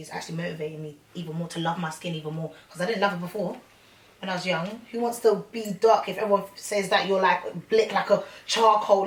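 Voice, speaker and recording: A woman with a London accent, fairly quick pace and ordinary pitch variation, against noticeable background noise. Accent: London, Multicultural London English. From London (Hackney). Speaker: rapper. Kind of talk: interview. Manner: casual, slangy.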